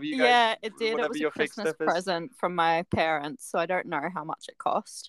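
With an Australian accent, a woman with a fairly low pitch and lively intonation talks at a moderate pace with hardly any pauses, in a dry, close sound with no echo on a very clean recording with a silent background. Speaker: podcast guest.

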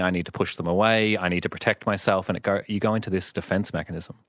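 With a quiet background and a dry, close sound with no echo, a man speaks at a very deep, low pitch and fairly even intonation. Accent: Australian. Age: 20s. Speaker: psychologist. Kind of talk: radio interview. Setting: radio studio.

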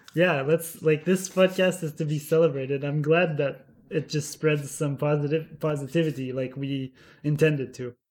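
Speaking at a moderate pace in an ordinary speaking voice, a man keeps a fairly high pitch and fairly even intonation. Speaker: podcast co-host. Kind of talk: casual chat.

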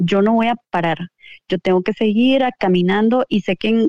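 Delivery is fairly slow. The pitch varies in an ordinary way. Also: woman. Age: 40s. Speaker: entrepreneur. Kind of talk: interview. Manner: halting.

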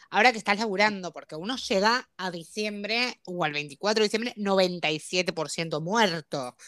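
Speaking with a Rioplatense accent, a woman talks at a fairly slow pace with hardly any pauses, her tone bright and sharp and her pitch varying in an ordinary way. The recording is very clean, with a silent background and a dry, close sound with no echo. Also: medium pitch for a woman, big swings in loudness. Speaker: podcast co-host. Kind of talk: casual chat.

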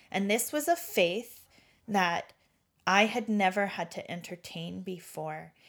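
A woman with an unremarkable speaking voice talks at a fairly slow pace in a medium pitch, with ordinary pitch variation. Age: 40s. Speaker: recovering alcoholic. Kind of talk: testimony.

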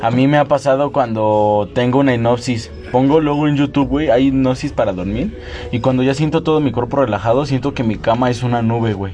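A man talks at a fairly quick pace with hardly any pauses and ordinary pitch variation while music plays in the background. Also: medium pitch for a man. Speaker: podcast host. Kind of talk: casual chat.

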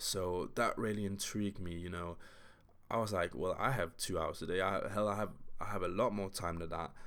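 This man has an ordinary speaking voice, fairly low in pitch. He talks at a fairly quick pace with fairly even intonation. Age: 20s. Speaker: podcast host and physical therapy student. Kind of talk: solo monologue podcast. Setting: early morning solo recording.

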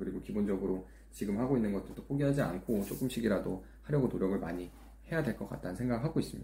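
A man's fairly low, dark and mellow voice at a very fast pace, with lively intonation. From South Korea. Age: 20s. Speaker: YouTuber. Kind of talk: monologue vlog. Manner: halting.

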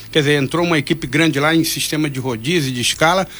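A man talks at a fairly quick pace. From Angra dos Reis, Rio de Janeiro state, Brazil. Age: 60s. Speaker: hospital administrator. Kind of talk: radio interview. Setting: radio studio. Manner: halting.

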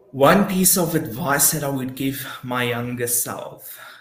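In a room with audible echo, a man talks in a fairly high voice with ordinary pitch variation. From South Africa, Eastern Cape. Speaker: accountant. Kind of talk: interview. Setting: live video stream.

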